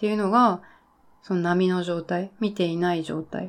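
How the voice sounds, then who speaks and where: On a very clean recording with a silent background, a woman speaks at a moderate pace and medium pitch. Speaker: YouTuber. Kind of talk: casual solo talk. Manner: hesitant with fillers.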